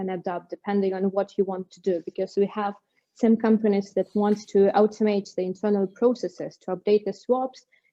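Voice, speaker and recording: Speaking with a non-native accent, a woman uses a medium pitch and a flat, monotone delivery at a moderate pace. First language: not English. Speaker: bridging technology company executive. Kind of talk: webinar Q&A. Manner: halting.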